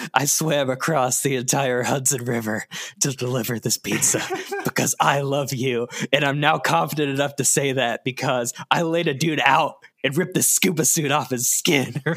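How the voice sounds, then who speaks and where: A man's raspy put-on character voice, medium in pitch, at a moderate pace. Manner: manic, rambling.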